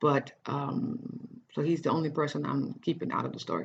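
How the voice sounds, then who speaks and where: A woman's very deep, low voice with ordinary pitch variation at a moderate pace. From Netherlands, Cape Verdean family. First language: Dutch. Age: 30s. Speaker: writer and life coach. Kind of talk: personal life story monologue. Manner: halting, many false starts; casual.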